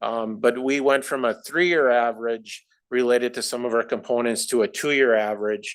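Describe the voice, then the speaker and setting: A man with a plain, everyday voice at a medium pitch, a fairly quick pace, and ordinary pitch variation, on a very clean recording with a silent background. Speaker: finance staff presenter. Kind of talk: board meeting presentation.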